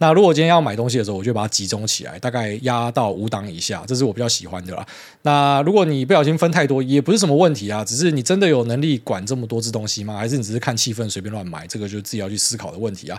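Speaking at a very fast pace, a man barely pauses at all. His medium-pitched voice carries lively intonation. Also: big swings in loudness. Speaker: podcast host. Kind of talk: casual monologue. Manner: hesitant fillers.

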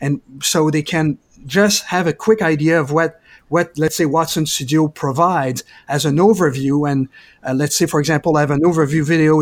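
A man with a Quebec French accent speaks at a moderate pace in a fairly high voice with fairly even intonation, the recording very clean, dry and close with no echo against a silent background. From Quebec, Canada. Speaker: IT specialist. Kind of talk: casual interview.

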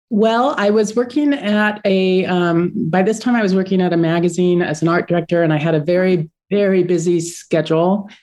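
A woman's medium-pitched, normal speaking voice at a moderate pace, with ordinary pitch variation, hardly any pauses, and very even loudness. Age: 50s. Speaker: artist and online art teacher. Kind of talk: interview.

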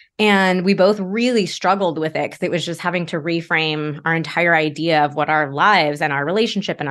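A normal speaking voice from a woman, fairly low in pitch with ordinary pitch variation, against a quiet background. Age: 30s. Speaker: sex therapist. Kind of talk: casual chat.

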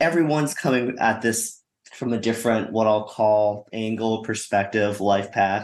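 Speaking at a moderate pace and medium pitch, a man with an ordinary speaking voice keeps fairly even intonation and very even loudness. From Canada. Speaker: investor. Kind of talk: panel discussion.

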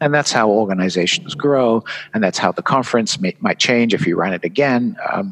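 With a slight British accent, a man talks at a medium pitch in a dry, close recording with no echo. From England. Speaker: conference designer and author. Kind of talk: casual interview chat. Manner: halting, hesitant.

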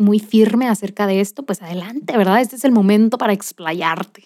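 A woman speaks with an animated tone. Her pitch is fairly high. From Monterrey, Nuevo León, Mexico. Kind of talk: faith-based motivational monologue.

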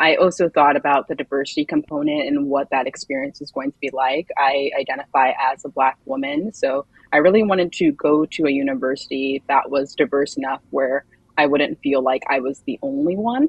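A speaker with an American accent talks at a fairly quick pace. Loudness swings widely, while the pitch moves in an ordinary way. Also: woman, very deep, low pitch for a woman. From Maryland, Montgomery County. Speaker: recent graduate, marketing professional. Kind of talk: interview.

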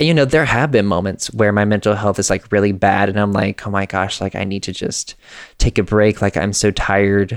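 With an American accent, a man speaks fairly quickly at a fairly low pitch with ordinary pitch variation, an unremarkable speaking voice in a very clean, dry, close recording with a silent background and no echo. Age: 20s. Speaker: podcast host, abuse survivor. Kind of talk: interview.

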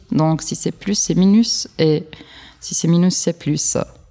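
A woman speaks with a non-native accent. Her voice is fairly low, with a dark, mellow tone. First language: not French (speaking French). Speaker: particle physics PhD student. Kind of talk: interview. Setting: science film festival. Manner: halting.

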